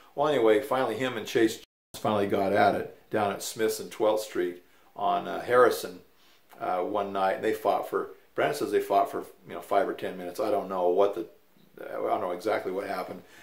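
A man with an American accent speaks fairly quickly in a relaxed, amused tone. The room echo is audible, though the background is quiet. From Utah, US. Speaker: grandfather telling family stories. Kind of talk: casual elder telling life story, folksy storytelling. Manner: rambling and conversational, with fillers and restarts, relaxed, mildly amused. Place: home room. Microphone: camera far.

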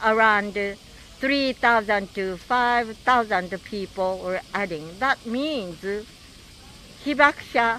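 Speaking with a Japanese accent, a woman uses a fairly high pitch with ordinary variation, recorded dry with no echo over light background noise. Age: 80s+. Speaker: atomic bomb survivor and peace activist. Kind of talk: recorded video message. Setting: outdoors. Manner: halting. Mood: earnest, hopeful. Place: street. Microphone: handheld.

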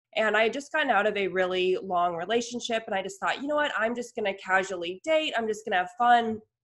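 Against a quiet background, a woman with a fairly high pitch and ordinary pitch variation talks at a very fast pace with hardly any pauses. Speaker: lifestyle blogger. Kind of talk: casual chat. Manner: enthusiastic. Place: home room.

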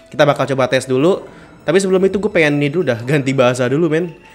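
Faint music plays behind a man. He talks at a very fast pace with ordinary pitch variation. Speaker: gaming youtuber. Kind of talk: casual gameplay commentary. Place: home room.

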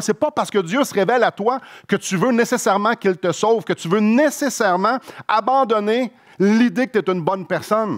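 Against a quiet background, a man with a Quebec accent speaks at a high pitch with ordinary pitch variation. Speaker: pastor. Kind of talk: sermon, expository preaching. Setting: church. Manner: earnest, explanatory, conversational; fervent, heartfelt, slower and pleading when praying. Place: church. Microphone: headset.

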